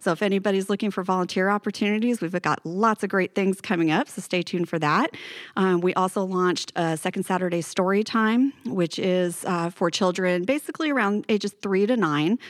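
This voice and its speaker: A woman with an American accent at a fairly quick pace, hardly any pauses, and a dry, close sound with no echo in a very clean recording with a silent background. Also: medium pitch for a woman, ordinary pitch variation. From Northern California (Paradise, Butte County). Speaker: museum executive director. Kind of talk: podcast interview.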